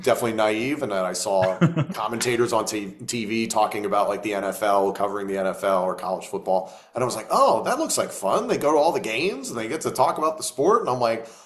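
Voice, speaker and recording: Very fast and energetic in tone, the voice shows ordinary pitch variation over noticeable background noise. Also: man, medium pitch for a man. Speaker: wrestling play-by-play commentator. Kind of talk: interview answer. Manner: energetic, conversational.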